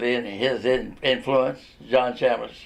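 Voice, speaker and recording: A man with a Tennessee accent at a very slow pace. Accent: Southern US (Tennessee). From Chattanooga, Tennessee (US South). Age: 80s+. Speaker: retired newspaper reporter. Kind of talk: interview. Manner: halting.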